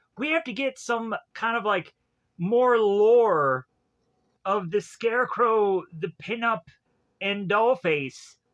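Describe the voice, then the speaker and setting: Delivery is very slow, with long, frequent pauses. The speaker has a Southern US accent. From US South, Georgia. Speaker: movie reviewer. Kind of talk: casual film review monologue. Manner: animated.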